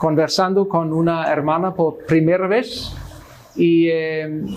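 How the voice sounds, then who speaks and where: Delivered at a very slow pace with a Swedish accent, the speech comes with noticeable background noise and audible room echo. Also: man. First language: Swedish (speaking Spanish). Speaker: Lutheran missionary pastor. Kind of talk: Bible study teaching. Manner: halting, many fillers.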